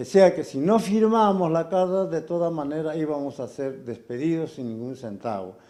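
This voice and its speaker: A man's high-pitched, dark and mellow voice at a fairly slow pace with lively intonation. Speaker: former telecom worker. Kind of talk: testimony. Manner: halting.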